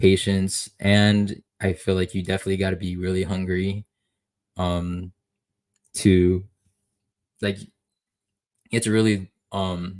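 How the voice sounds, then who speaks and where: A man's very deep, low voice, monotone and flat, at a fairly slow pace with long, frequent pauses, in a very clean recording over a silent background. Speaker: livestreamer. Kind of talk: casual livestream chat. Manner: halting, many fillers.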